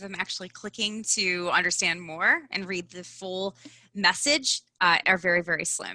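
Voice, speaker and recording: With a strong Midwestern US accent, a woman talks at a medium pitch in fairly even intonation. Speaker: personal branding expert. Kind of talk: live online event interview.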